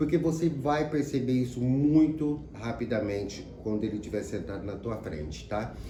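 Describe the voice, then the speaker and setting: In audible room echo, a man with a dark, mellow, somewhat breathy tone speaks at a moderate pace. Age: 60s. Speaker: psychologist. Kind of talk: sales pitch. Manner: casual, conversational.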